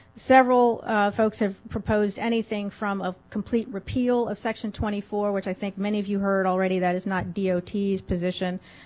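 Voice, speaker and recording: A woman with a medium pitch talks at a fairly quick pace with hardly any pauses and a monotone, flat intonation. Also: quiet background. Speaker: government agency lawyer. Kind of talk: conference presentation. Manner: halting; fast.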